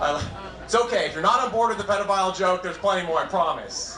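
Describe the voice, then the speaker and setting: Audible room echo and noticeable background noise surround a man whose intonation is lively. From New England. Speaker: stand-up comedian. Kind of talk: stand-up. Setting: stage with audience.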